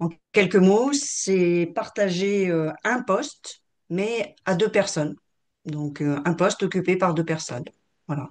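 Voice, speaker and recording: In a quiet background, a woman at medium pitch speaks at a very slow pace with lively intonation. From France, Grenoble. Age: 60s. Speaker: retired finance executive. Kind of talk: interview. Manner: hesitant, many fillers.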